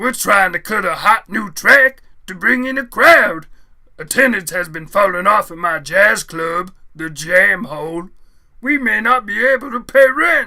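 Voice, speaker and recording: In a put-on character voice, a man speaks high with lively intonation, big swings in loudness and a moderate pace. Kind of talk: comic hipster jive talk. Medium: audio drama. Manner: hip slang, drawling cool.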